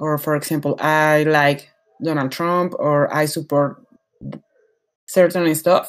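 Speaking very slowly with a Spanish accent, a woman uses a very deep, low pitch and flat, monotone intonation, leaving long, frequent pauses. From Mexico. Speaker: podcast guest. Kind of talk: casual chat. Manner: interrupts often.

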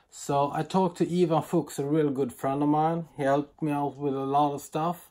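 A man's dark, mellow voice with a Swedish accent. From Sweden. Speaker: knife and axe thrower, YouTuber. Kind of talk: casual video vlog. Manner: animated.

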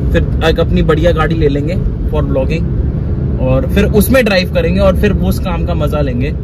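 A man's fairly slow speech, dry with no echo, amid loud background noise. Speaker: travel vlogger. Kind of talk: casual vlog chat. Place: car. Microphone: phone near.

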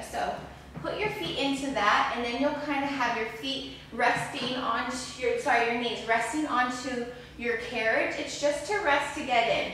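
A high-pitched woman's voice with ordinary pitch variation, strong room echo and light background noise. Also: moderate pace. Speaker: fitness instructor. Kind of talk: guided reformer Pilates class, instructing live exercises. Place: gym.

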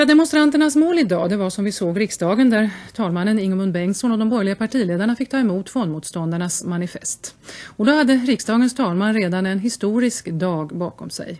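Her intonation lively, a woman talks at a fairly quick pace. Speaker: news anchor. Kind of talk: news reading. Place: studio. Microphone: studio mic.

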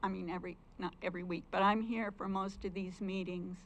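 Monotone, flat intonation marks speech delivered at a moderate pace. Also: woman. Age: 70s. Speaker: public commenter at county meeting. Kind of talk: public comment speech. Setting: county commissioners meeting room.

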